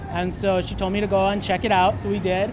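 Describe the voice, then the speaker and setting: Someone with an American accent speaks at a moderate pace. The room echo is audible and background noise is noticeable. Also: man. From Minnesota, US Midwest (Maple Grove). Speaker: dating show contestant. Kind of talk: interview. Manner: hesitant, with fillers.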